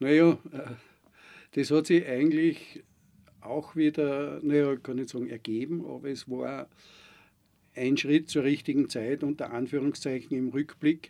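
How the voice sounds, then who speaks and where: A man with a fairly high pitch and a dark, mellow tone talks at a fairly slow pace, using fairly even intonation and long, frequent pauses. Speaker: veterinarian and farmer. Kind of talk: interview. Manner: hesitant, with filler sounds.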